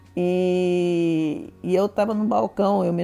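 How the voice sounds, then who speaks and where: Over music in the background, a woman speaks at a fairly low pitch. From Brazil, northern Rio de Janeiro state interior. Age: 70s. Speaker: mathematics professor. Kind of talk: interview testimony. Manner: conversational, with frequent repetitions and restarts.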